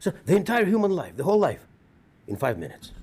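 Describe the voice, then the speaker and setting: Talking at a very fast pace, a man with a Russian accent uses a high pitch. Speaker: rabbi. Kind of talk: eulogy.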